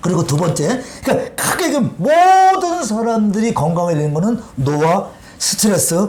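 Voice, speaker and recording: Amid noticeable background noise and audible room echo, a man sounds animated, speaking at a moderate pace in a high pitch with very wide pitch swings. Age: 60s. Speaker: water health lecturer. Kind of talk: interview talk.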